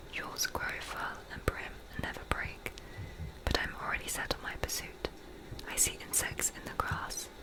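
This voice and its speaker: Whispering in a gentle tone at a moderate pace, a woman leaves long, frequent pauses over noticeable background noise. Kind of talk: literary reading of a novel. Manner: soft, relaxing, gentle.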